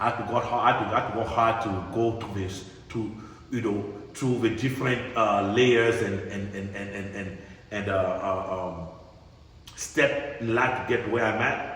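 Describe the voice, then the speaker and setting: Amid audible room echo and noticeable background noise, a man talks at a moderate pace in a medium pitch with fairly even intonation. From immigrant to US. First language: not English. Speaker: podcast host. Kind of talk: casual chat. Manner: halting, repeats words.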